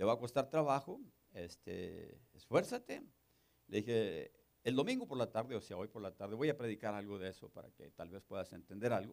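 At a moderate pace, a man with a normal speaking voice at medium pitch talks with lively intonation and big swings in loudness. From northern Mexico. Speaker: pastor. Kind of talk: sermon.

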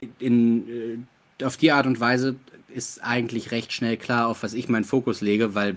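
In a very clean recording with a silent background, a man with a medium pitch and a normal speaking voice talks at a moderate pace. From Ruhr area, Germany. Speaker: actor and game master. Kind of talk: casual chat.

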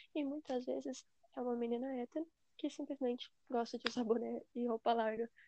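Speaking at a fairly quick pace, a woman has a high voice with a dark, mellow tone and fairly even intonation, and the sound is dry and close with no echo. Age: 20s. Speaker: podcast guest. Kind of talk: casual chat.

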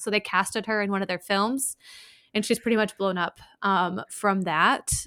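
Her recording very clean with a silent background and a dry, close sound with no echo, a woman with an American accent and an ordinary speaking voice talks at a moderate pace and a medium pitch, keeping her intonation fairly even. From US Midwest. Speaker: podcast host. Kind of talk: casual chat.

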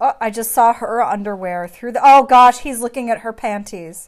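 At a fairly slow pace, a woman speaks with a fairly high pitch, ordinary pitch variation and an animated tone. The recording is very clean, with a silent background. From United States. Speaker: podcast host. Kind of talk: casual banter while watching a movie. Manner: animated, joking, frequent interruptions.

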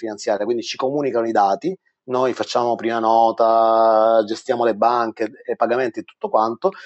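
A man speaks at a moderate pace with a medium pitch and a normal speaking voice. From Sicily, Palermo. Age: 40s. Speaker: franchise entrepreneur. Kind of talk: interview. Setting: live online webinar.

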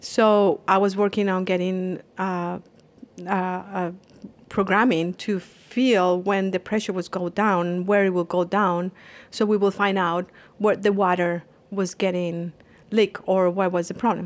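Speaking at a fairly slow pace with a Colombian accent, a woman keeps her intonation monotone and flat. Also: medium pitch for a woman. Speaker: Ayurvedic practitioner. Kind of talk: interview. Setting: spa treatment room.

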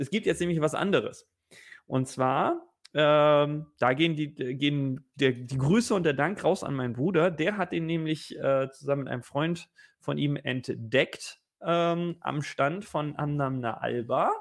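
A man with an ordinary speaking voice, fairly high pitch, ordinary pitch variation and a fairly slow pace. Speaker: whisky podcast co-host. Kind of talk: casual whisky tasting chat.

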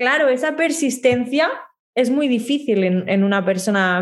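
A woman with a high-pitched voice talks fairly slowly, her intonation lively. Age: 20s. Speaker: communication coach and singer-songwriter. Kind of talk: interview.

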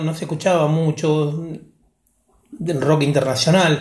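With a Rioplatense accent, a man speaks fairly slowly in a fairly high voice, with audible room echo. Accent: Argentine Rioplatense Spanish. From Argentina, Olavarría (Buenos Aires province). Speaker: podcast guest, interviewee. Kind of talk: interview, personal reminiscence. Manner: halting, many fillers and repetitions.

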